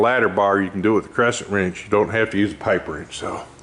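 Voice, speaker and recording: Delivered at a very fast pace, the flat, monotone speech plays over noticeable background noise. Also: man. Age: 60s. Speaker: race car builder, shop owner. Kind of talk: casual shop walkaround vlog. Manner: casual, rambling with fillers.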